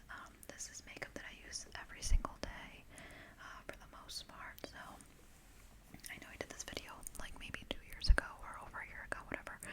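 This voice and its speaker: Someone whispers at a fairly quick pace, with long, frequent pauses and noticeable background noise. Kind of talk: ASMR makeup show and tell. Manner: whispered; casual, chatty.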